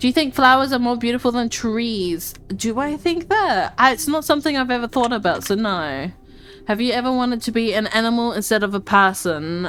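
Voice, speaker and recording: Music plays in the background as a woman speaks at a moderate pace with a high pitch and lively intonation. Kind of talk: casual talk while playing a game. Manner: stutters, slurs words together.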